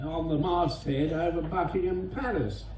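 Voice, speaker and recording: Background noise is noticeable throughout. Over it, a man talks fairly slowly. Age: 80s+. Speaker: war veteran. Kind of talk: speech to an audience.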